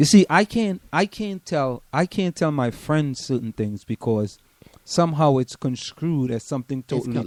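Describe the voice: A man with a Trinidadian accent speaks at a moderate pace with a fairly high pitch and lively intonation. The sound is dry and close, with no echo.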